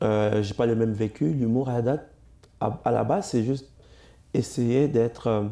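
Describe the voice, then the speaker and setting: In an African accent, a man speaks at a moderate pace with medium pitch, a dark, mellow tone and fairly even intonation. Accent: non-Quebec accent, African. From Congo, moved to Cuba at 7. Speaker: comedian. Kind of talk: interview.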